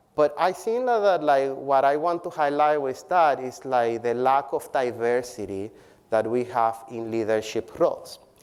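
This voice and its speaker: Speaking with a non-native accent, a man uses a fairly high pitch and lively intonation. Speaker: public health professor. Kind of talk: keynote speech. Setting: conference stage with audience.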